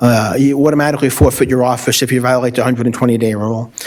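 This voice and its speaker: With a Brooklyn accent, a man talks at a fairly quick pace and fairly even intonation over noticeable background noise. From US Northeast, Brooklyn, New York. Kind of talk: public comment at a city commission meeting.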